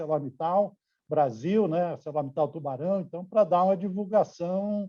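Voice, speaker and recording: A man's fairly high voice comes through at a fairly slow pace. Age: 60s. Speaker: steel company executive. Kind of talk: interview. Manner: hesitant, many fillers.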